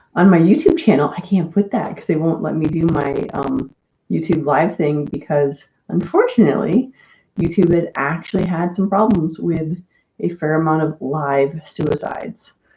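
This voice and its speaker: This woman is soft-spoken and somewhat breathy, with a fairly low pitch and a dark, mellow tone. She talks at a moderate pace with ordinary pitch variation. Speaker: mental health live-stream host. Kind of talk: casual chat. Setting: live stream.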